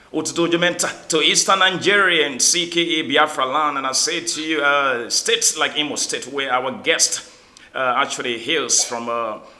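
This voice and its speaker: A man with a fairly high pitch and ordinary pitch variation talks at a moderate pace, noticeable background noise audible behind him. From Liberia. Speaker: talk show host. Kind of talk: interview greetings and introduction.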